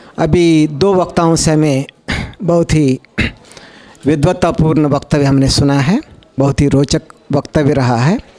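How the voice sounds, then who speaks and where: Pausing long and often, a man speaks in a fairly high pitch with fairly even intonation and very even loudness over noticeable background noise. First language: Telugu (speaking Hindi). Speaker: conference speaker on languages. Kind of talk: conference talk. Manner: formal, with hesitations.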